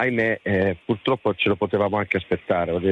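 Over noticeable background noise, a man talks with fairly even intonation at a fairly low pitch. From Lecce, Apulia, Italy. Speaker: caller. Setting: phone call.

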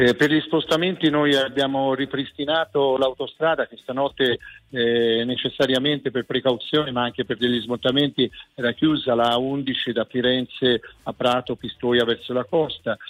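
A man talks in an ordinary speaking voice at medium pitch and a moderate pace, with fairly even intonation. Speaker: regional president. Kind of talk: radio interview. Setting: remote link.

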